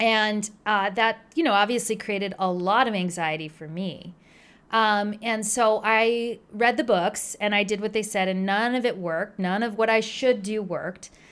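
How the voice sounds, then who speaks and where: A woman with an American accent and a plain, everyday voice, fairly high in pitch, at a moderate pace on a very clean recording with a silent background. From New Jersey. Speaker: pediatrician. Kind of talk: interview.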